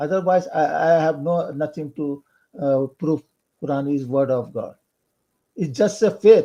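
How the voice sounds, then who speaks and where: A man's fairly high, dark and mellow voice at a fairly slow pace, with ordinary pitch variation and long, frequent pauses. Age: 60s. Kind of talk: online discussion. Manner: halting.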